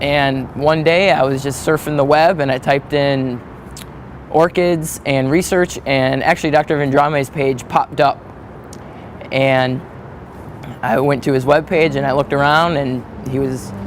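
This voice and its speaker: A man speaks at a moderate pace in a fairly high voice with fairly even intonation over noticeable background noise. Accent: American. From Wisconsin, US Midwest (Manitowoc). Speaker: graduate student researcher. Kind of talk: interview monologue. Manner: hesitant, with many fillers.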